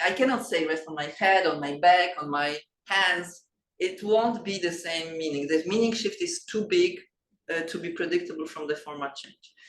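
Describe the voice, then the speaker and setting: With a Polish accent, a woman speaks at a medium pitch and moderate pace with ordinary pitch variation amid audible room echo. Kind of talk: lecture. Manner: halting, with many fillers and restarts.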